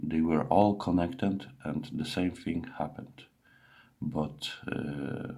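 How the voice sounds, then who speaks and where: With a non-native accent, a man talks at a very slow pace in a very deep, low pitch. His tone is dark and mellow, and his intonation is lively. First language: not English. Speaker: PC user reporting a tech issue. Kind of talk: screen-recorded bug report narration. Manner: halting, many fillers and self-corrections.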